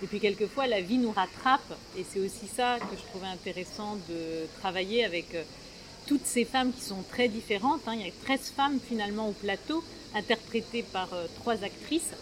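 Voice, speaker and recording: A woman with a fairly high pitch speaks at a moderate pace with ordinary pitch variation over noticeable background noise. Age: 50s. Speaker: playwright and theatre director. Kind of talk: interview. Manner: hesitant, many fillers.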